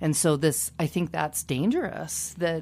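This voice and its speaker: A woman's very deep, low voice with vocal fry, an American accent, fairly even intonation and a fairly slow pace. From Kansas. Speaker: public radio executive. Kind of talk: radio panel discussion. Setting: studio.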